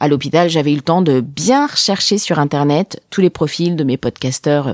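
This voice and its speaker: In a very clean recording with a silent background, a woman speaks at a fairly slow pace with an animated tone. Her intonation is lively, and the sound is dry and close with no echo. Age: 30s. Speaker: podcaster. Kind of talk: personal storytelling.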